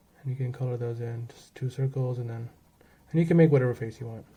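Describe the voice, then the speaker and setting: A man talks at a fairly quick pace with a medium pitch and fairly even intonation. His tone is dark, mellow and somewhat breathy. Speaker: art tutorial creator. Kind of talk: tutorial. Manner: fast; casual, with fillers.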